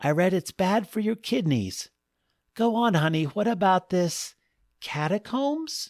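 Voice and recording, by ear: Using a put-on character voice, a man speaks at a high pitch and fairly slow pace with big pitch swings and a slightly mellow tone, on a very clean recording with a silent background and a dry, close sound with no echo.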